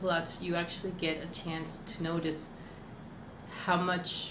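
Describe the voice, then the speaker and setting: With noticeable background noise and audible room echo, a woman talks at a fairly slow pace. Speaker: stuttering therapy client. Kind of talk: interview. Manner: halting.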